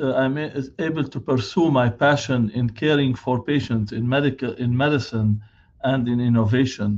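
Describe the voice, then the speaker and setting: Moderate pace and fairly even intonation, with a non-native accent. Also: man, medium pitch for a man. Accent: foreign. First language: not English. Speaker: physician and hospital director. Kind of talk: keynote speech. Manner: halting, many filler sounds.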